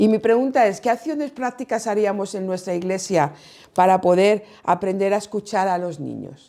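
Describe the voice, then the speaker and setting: The voice has a dark, mellow tone, ordinary pitch variation and a moderate pace on a very clean recording with a silent background. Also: woman, medium pitch for a woman. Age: 60s. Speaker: pastor and children's ministry teacher. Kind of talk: workshop talk. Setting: conference workshop with audience.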